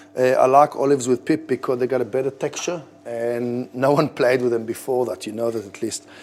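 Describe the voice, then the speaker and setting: A man at a fairly quick pace with an Israeli accent. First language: Hebrew. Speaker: head chef. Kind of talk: cooking tutorial. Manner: casual, conversational.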